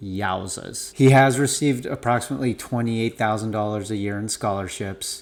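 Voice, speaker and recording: Here is an ordinary speaking voice at a moderate pace with ordinary pitch variation. The recording is very clean, with a silent background. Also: man, medium pitch for a man. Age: 40s. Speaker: parent. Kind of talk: casual talk to camera. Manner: casual, with filler words.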